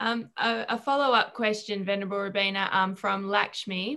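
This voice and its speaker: Here a woman speaks at medium pitch with a bright, sharp tone. Her delivery comes at a fairly slow pace. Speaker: question reader. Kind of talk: relaying audience questions.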